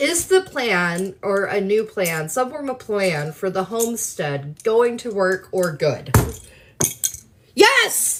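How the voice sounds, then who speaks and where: A woman with an American accent, medium pitch, very wide pitch swings and a very slow pace, amid noticeable background noise. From US South. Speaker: live streamer answering viewer questions. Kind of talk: casual live stream chat.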